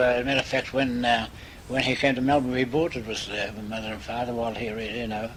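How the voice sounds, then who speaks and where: A man at a medium pitch, fairly quick and monotone in flat intonation, over noticeable background noise. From Malta. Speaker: migrant. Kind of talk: interview answer. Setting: home, cassette recording.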